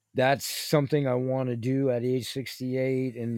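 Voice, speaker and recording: Noticeable background noise sits behind a man with an American accent. His medium-pitched voice is monotone and flat, and he speaks at a fairly slow pace. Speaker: podcast host. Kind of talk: casual monologue. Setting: home studio, video recording. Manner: rambling, meandering.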